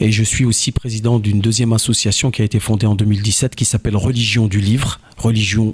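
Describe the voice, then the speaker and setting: There is noticeable background noise as a man talks at a fairly quick pace. His pitch is fairly low and his intonation fairly even. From France, Joué-lès-Tours (Indre-et-Loire). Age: 40s. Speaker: local election candidate. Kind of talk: campaign statement interview.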